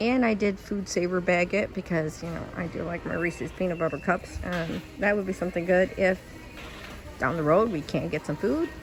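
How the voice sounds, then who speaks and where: At a moderate pace and quiet volume, a woman with an American accent speaks in a fairly low pitch with ordinary pitch variation while music plays in the background. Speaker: YouTube shopping vlogger. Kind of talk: shopping haul vlog. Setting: inside a store, walking through aisles. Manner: quiet, lowered voice; casual with many fillers.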